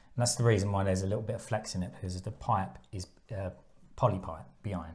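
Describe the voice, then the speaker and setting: At a fairly quick pace, the speaker sounds somewhat breathy. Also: man. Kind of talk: casual tutorial vlog chat. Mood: puzzled, mildly frustrated. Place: bathroom. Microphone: lapel.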